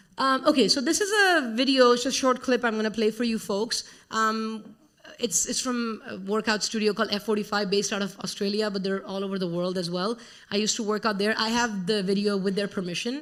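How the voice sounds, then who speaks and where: Speaking at a fairly quick pace with an Indian accent, a woman uses a fairly high pitch and ordinary pitch variation. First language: Hindi. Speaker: conference speaker, educator. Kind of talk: conference talk.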